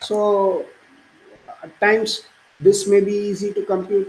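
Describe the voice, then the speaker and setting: Noticeable background noise sits under the voice. The pace is fairly slow. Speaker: university math lecturer. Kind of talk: lecture.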